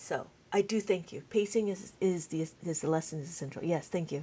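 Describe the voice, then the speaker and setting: A woman is speaking. Her tone is animated. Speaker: abacus math teacher. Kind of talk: live stream tutorial with chat replies. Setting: live stream. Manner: fast.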